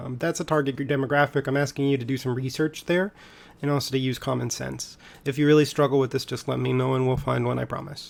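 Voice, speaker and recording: A man's medium-pitched voice in a monotone, flat intonation at a very fast pace. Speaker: high school economics teacher. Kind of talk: recorded class tutorial. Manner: casual.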